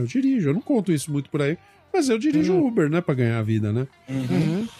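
A man speaks with very wide pitch swings. The sound is dry and close with no echo, though noticeable background noise is present. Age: 40s. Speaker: podcast co-host. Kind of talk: casual chat.

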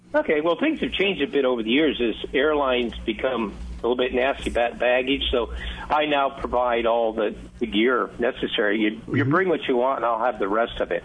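A man at a medium pitch and a fairly quick pace, with ordinary pitch variation, very even loudness and noticeable background noise. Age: 70s. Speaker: fishing lodge owner. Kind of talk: casual chat.

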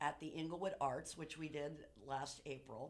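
A voice with ordinary pitch variation, speaking at a moderate pace. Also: woman. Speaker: actress. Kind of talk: radio interview.

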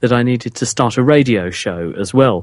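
In a British accent, a man talks at a fairly quick pace and medium pitch with lively intonation. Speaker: scientist and science radio presenter. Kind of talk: interview.

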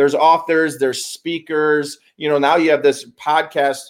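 A man with an American accent speaks at a moderate pace in a plain, everyday voice, his pitch fairly high for a man. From US Midwest, Chicago area. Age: 40s. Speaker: business consultant in self-help space. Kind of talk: casual interview chat. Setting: in person, Arizona.

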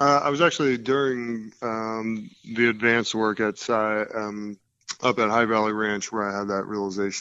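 A man with an American accent uses a plain, everyday voice at a medium pitch, keeping a moderate pace and fairly even intonation. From US Northeast, New Jersey. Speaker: former pro baseball player, life coach. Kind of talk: casual interview.

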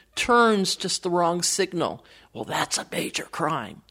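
A woman speaks in an ordinary speaking voice with an American accent, at medium pitch. Her pace is fairly slow and her pitch varies in an ordinary way. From Wisconsin, US Midwest. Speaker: political campaign strategist and author. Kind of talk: interview conversation.

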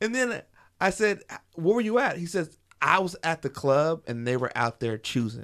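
A man speaks in a high voice at a moderate pace. His pitch swings very widely. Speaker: podcaster. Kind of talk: casual chat.

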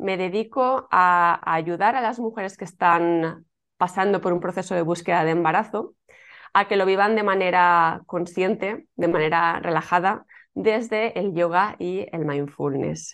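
A woman with an ordinary speaking voice talks fairly slowly at a fairly low pitch with ordinary pitch variation, against a quiet background. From Spain, Alicante. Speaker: yoga teacher and former fertility clinic worker. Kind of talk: interview.

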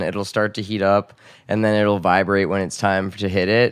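Over a quiet background, a man with an American accent talks at a fairly quick pace in a normal speaking voice, fairly low in pitch. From San Diego, California. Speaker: dispensary employee. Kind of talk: casual interview chat.

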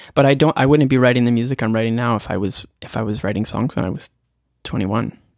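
A man with a Canadian accent at a very fast pace, medium pitch and ordinary pitch variation, on a very clean recording with a silent background. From Prince Edward Island, Canada. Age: 30s. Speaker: singer-songwriter. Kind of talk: podcast interview.

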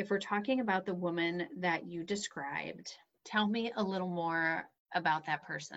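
At a moderate pace, a woman uses a normal speaking voice, fairly low in pitch with ordinary pitch variation, over a quiet background. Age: 40s. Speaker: business coach and podcast host. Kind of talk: coaching call.

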